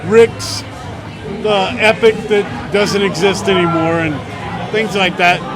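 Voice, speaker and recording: Amid music in the background and audible room echo, a man with an American accent speaks at a very slow pace in a high voice with fairly even intonation and long, frequent pauses. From Florida Keys, US. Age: 60s. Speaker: boxing coach. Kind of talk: casual interview chat. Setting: outdoors in front of pizza shop.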